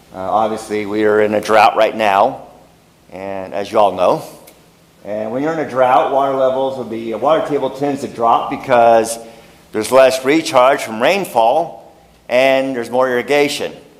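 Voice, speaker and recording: Noticeable background noise and audible room echo accompany speech at a moderate pace with ordinary pitch variation. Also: man, medium pitch for a man. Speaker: geologist giving a talk. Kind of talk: lecture. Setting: meeting room with audience. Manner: loud.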